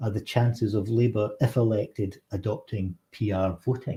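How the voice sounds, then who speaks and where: A man speaks at a medium pitch with a Scottish accent. His tone is dark and mellow, and somewhat breathy. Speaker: politician and show host. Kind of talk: political talk show discussion. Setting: livestream from Westminster.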